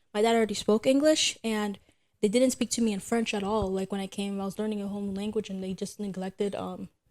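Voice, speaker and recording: A woman at a medium pitch and very fast pace, on a very clean recording with a silent background. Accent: American. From Haiti, then raised in the US from age five. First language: Haitian Creole. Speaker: podcast co-host. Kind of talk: casual chat. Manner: hesitant, many fillers.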